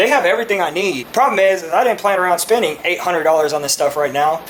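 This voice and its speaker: Someone with a Texan accent talks at a very fast pace over noticeable background noise. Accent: Texas English. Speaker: car enthusiast YouTuber. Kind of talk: casual unboxing vlog.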